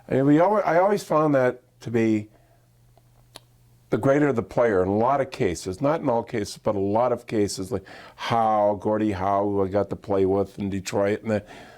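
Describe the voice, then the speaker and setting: A man speaks with an Ontario accent at a fairly low pitch. His pitch varies in an ordinary way. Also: moderate pace. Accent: Canadian (Ontario). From Canada, Midland, Ontario. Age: 60s. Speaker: former pro hockey player and broadcaster. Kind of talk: interview.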